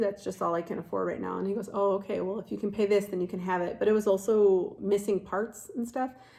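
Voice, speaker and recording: A woman with a Chicago accent talks at a very fast pace in a medium pitch. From Chicago, Illinois. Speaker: nurse and mother making a video. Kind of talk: casual unboxing vlog. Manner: chatty, many fillers.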